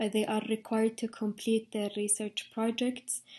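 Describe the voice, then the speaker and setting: A woman with an Arabic accent speaks at a fairly high pitch in a dark, mellow, somewhat breathy tone. The background is quiet. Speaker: dental intern. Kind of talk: informational talk. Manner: hesitant with fillers.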